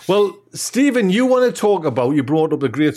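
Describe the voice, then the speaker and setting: Lively intonation marks a man's normal speaking voice at a moderate pace, in a very clean recording with a silent background. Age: 50s. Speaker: gardening podcast host. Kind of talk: casual chat.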